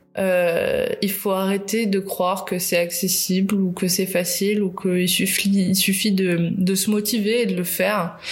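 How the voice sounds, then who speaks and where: Amid noticeable background noise and audible room echo, a woman speaks at medium pitch in a monotone, flat intonation, at a fairly slow pace with hardly any pauses and very even loudness. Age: 30s. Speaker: podcaster. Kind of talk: personal monologue. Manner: halting.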